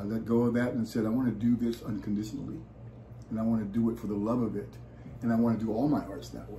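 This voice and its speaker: A somewhat breathy man with an American accent rushes along at a very fast pace in a monotone, flat delivery at medium pitch, with audible room echo. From US West Coast, San Francisco Bay Area. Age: 70s. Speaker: musician and actor. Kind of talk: interview.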